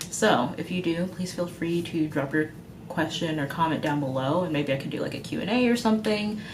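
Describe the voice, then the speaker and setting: Lively intonation marks this woman's fairly low-pitched voice. Audible room echo and noticeable background noise fill the recording. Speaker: veterinary student. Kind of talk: advice vlog. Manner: fast; casual, with fillers.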